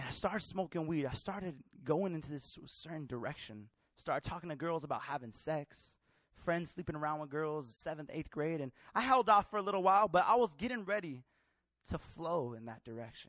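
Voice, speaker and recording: Fairly quick and full of lively intonation, a man with an American accent and fairly high pitch shows big swings in loudness on a very clean recording with a silent background. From California, US. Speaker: pastor. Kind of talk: sermon. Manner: passionate.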